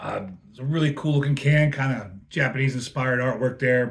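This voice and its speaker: A somewhat breathy man talks at a moderate pace, his fairly high pitch showing ordinary pitch variation. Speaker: beer reviewer, touring crew member. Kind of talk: casual product review. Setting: hotel room.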